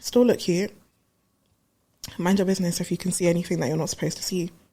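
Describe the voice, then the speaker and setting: This woman's voice is fairly low, somewhat breathy and dark and mellow in tone, with fairly even intonation. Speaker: talk show host. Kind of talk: casual vlog monologue.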